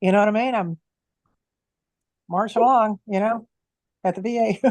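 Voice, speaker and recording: Using a normal speaking voice, a woman with a fairly high pitch speaks at a moderate pace with fairly even intonation, the sound dry and close with no echo. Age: 60s. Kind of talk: casual chat.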